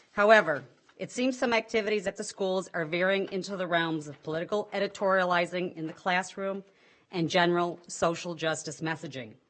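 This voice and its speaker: Using ordinary pitch variation, a woman with a fairly low pitch speaks at a fairly quick pace. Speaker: parent. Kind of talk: public comment. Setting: school board meeting. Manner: fast.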